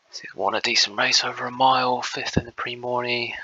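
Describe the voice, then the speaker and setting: The speaker is a man. He talks at a moderate pace. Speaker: gaming youtuber. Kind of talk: casual gameplay commentary. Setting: at home.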